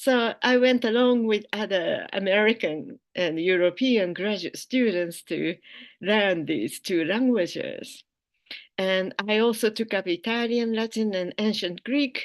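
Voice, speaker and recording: A woman speaks with a Japanese accent at a fairly slow pace. Her pitch is fairly high, with ordinary variation. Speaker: philosophy professor. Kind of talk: keynote lecture.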